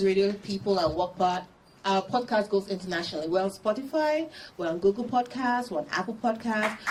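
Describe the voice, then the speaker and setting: Rather brisk speech against clear background noise. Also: woman. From Nigeria. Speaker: tourism podcaster. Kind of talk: Q&A interview at a launch party. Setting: live event with audience. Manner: fast.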